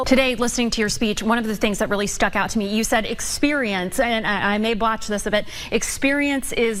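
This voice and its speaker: Against noticeable background noise, a woman with a fairly high pitch speaks at a fairly quick pace. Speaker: TV news anchor and reporter. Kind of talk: interview question.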